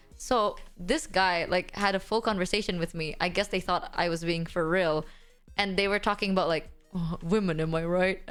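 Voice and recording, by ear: A woman's fairly even intonation over music in the background. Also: medium pitch for a woman, moderate pace.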